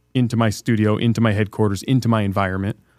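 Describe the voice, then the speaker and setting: At a fairly quick pace, a man with an ordinary speaking voice of medium pitch is heard in a very clean recording with a silent background. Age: 40s. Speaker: entrepreneur. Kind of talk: casual chat. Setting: studio.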